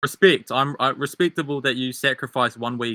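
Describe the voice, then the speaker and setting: With a strong New Zealand accent, a bright, sharp voice goes at a fairly quick pace, sounding dry and close with no echo on a very clean recording with a silent background. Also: man. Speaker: debate candidate. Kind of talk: political debate. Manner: halting.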